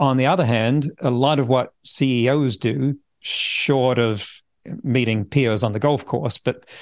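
Against a quiet background, a man with an English accent speaks at medium pitch with ordinary pitch variation. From England. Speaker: futurist and author. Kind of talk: interview conversation.

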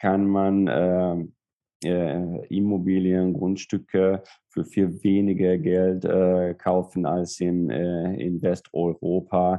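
With a Hungarian accent, a man talks at a very slow pace in a very deep, low voice with fairly even intonation. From southern Hungary, Szeged. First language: Hungarian (speaking German). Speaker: lawyer. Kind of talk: interview. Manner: halting.

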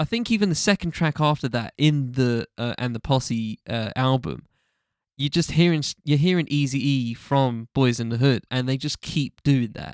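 In a normal speaking voice with a fairly high pitch and lively intonation, a man speaks at a moderate pace, recorded very cleanly with a silent background and a dry, close sound with no echo. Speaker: hip-hop podcast host. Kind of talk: casual chat.

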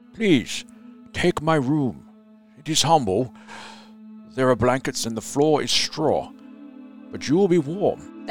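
Over clear background music, a man puts on a character voice at a fairly high pitch, sounding strained, with lively intonation, a fairly slow pace and long, frequent pauses. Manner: nervous, gentle, strained.

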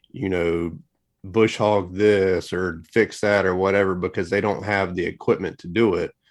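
A man speaks in a very deep, low voice, monotone and flat, at a fairly slow pace. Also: quiet background. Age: 30s. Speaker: lawn care business owner and YouTuber. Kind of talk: podcast interview. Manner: filler-heavy, casual.

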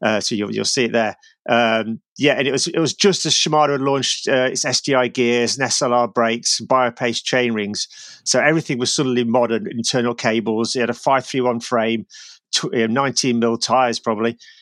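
Heard in a dry, close sound with no echo, a man with a plain, everyday voice speaks at a moderate pace, medium pitch and ordinary pitch variation. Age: 40s. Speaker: cyclist and author of climbing guidebooks. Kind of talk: casual chat. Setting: remote call from home basement.

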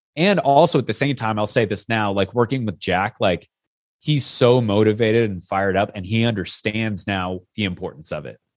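A plain, everyday voice, this man talks with an American accent at a moderate pace and fairly low pitch, with ordinary pitch variation against a quiet background. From US Pacific Northwest, Yakima, Washington. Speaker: stuntman and fitness coach. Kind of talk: casual interview chat.

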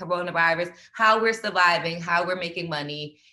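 A woman talks at a fairly quick pace in a plain, everyday voice with a fairly low pitch. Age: 40s. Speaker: pole dance instructor. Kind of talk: casual chat.

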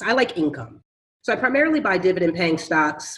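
With an American accent and lively intonation, a woman talks at a moderate pace and medium pitch in an unremarkable speaking voice. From Philadelphia. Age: 40s. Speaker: real estate investor. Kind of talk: interview.

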